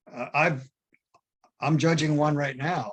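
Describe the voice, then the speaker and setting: A man speaks in a somewhat breathy voice. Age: 80s+. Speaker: philatelic judge and exhibitor. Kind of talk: Q&A discussion. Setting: video call. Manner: halting, many fillers and restarts.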